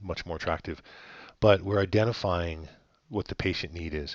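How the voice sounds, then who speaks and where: With a quiet background behind him, a man speaks in a very deep, low pitch with fairly even intonation. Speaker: web design agency co-founder. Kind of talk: website review walkthrough. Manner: fast; hesitant with many fillers.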